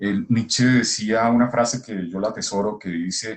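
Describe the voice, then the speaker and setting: At a moderate pace, a man speaks at medium pitch. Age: 60s. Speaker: scholar of integral thought. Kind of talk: casual conversation. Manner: halting.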